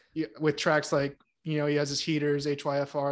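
A man with a fairly high pitch speaks at a fairly quick pace in a monotone, flat intonation. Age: 20s. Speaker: podcast co-host, college student. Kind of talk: casual chat.

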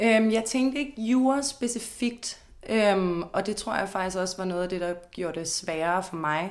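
Speaking at a fairly slow pace, a woman uses a medium pitch with ordinary pitch variation. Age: 20s. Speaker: law student. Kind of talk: interview. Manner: hesitant, many fillers.

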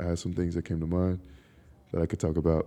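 A man speaks in a very deep, low pitch with a dark, mellow tone. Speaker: podcaster. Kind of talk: casual monologue. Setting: outdoors in a park. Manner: laid-back, laughing often.

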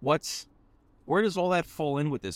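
A man recorded very cleanly against a silent background, the sound dry and close with no echo. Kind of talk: casual chat. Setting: in a car.

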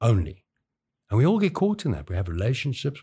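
On a very clean recording with a silent background, a man talks at a very fast pace, his tone dark, mellow and somewhat breathy. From South Africa, KwaZulu-Natal South Coast. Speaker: college skills development lead. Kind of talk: casual interview, personal storytelling.

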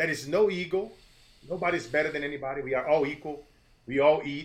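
With an energetic tone, a man talks at a fairly quick pace and a fairly high pitch, with audible room echo. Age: 40s. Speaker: motivational speaker. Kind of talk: interview.

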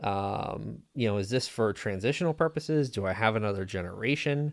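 An unremarkable speaking voice from a man with an American accent, fairly low in pitch, with ordinary pitch variation and a moderate pace. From Pennsylvania, Lebanon County. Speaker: fractional CFO and business consultant. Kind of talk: casual interview.

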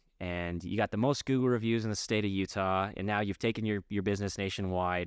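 Over a quiet background, a man with a fairly low pitch talks at a moderate pace in a plain, everyday voice. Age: 30s. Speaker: podcast host. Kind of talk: casual chat.

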